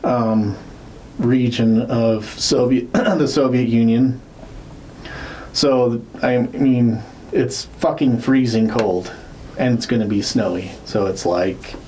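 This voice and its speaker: Amid noticeable background noise and audible room echo, a man with a medium pitch and ordinary pitch variation talks at a very slow pace, with very even loudness and long, frequent pauses. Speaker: podcast co-host. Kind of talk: casual chat. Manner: slurred words; hesitant, many fillers.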